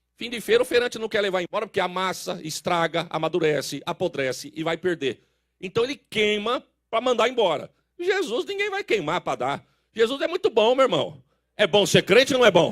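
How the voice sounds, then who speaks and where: A man with a high pitch and an animated tone speaks at a fairly quick pace with very wide pitch swings, in a very clean, dry, close recording with no echo and a silent background. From Brazil, São Paulo. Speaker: pastor. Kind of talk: sermon.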